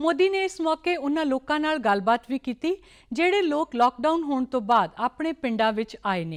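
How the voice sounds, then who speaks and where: Over a quiet background, a woman's high voice moves through very wide pitch swings. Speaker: TV news anchor. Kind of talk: newsreading, formal TV bulletin. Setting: studio. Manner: formal; steady, even-paced.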